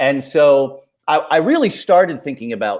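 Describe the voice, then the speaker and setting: An American accent at a fairly slow pace on a very clean recording with a silent background. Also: man. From US Midwest, Ohio. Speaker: thriller novelist and creative writing professor. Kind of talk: interview.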